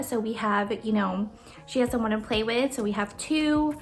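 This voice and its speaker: Against music in the background, a woman talks at a fairly quick pace with ordinary pitch variation. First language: Tagalog. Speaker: budgeting YouTuber. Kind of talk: Q&A video, casual chat. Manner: casual, filler-heavy.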